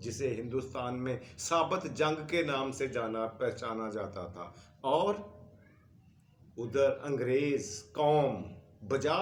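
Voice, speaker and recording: Heard with audible room echo, a man with a fairly high pitch speaks at a very slow pace. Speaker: history storyteller. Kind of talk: history lecture.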